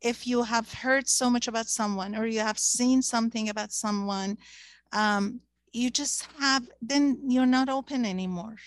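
At a moderate pace, a woman talks with a fairly high pitch and ordinary pitch variation, in a dry, close sound with no echo.

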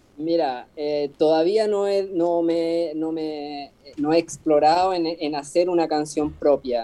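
Speaking at a very slow pace yet with hardly any pauses, a man keeps a fairly even intonation at a fairly high pitch. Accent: Chilean. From Chile, Patagonia (Puerto Cisnes). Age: 30s. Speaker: street musician, accordion player. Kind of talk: casual interview.

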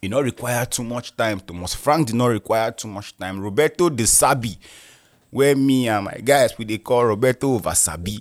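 A man with a Nigerian accent is recorded very cleanly against a silent background, the sound dry and close with no echo. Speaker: football podcast host. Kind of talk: casual solo commentary. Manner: animated.

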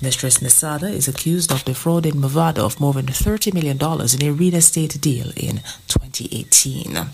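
With hardly any pauses, a woman with a very deep, low voice speaks at a moderate pace and ordinary pitch variation over noticeable background noise. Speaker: newsreader. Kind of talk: news reading.

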